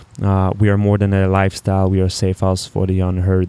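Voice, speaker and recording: A man with a French accent and a very deep, low pitch, dark and mellow in tone, flat and monotone at a moderate pace. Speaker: podcast host, entrepreneur. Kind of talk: casual solo monologue.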